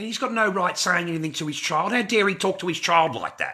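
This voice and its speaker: With an Australian accent, a man speaks at a moderate pace in a raised, projected voice, bright and sharp in tone, with lively intonation. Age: 50s. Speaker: livestreamer. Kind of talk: casual livestream rant. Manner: animated.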